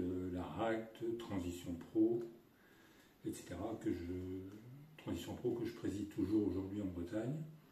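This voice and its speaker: A man's fairly low voice at a fairly slow pace, fairly even intonation and audible room echo. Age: 60s. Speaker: retired business executive. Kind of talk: testimony. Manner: hesitant with fillers.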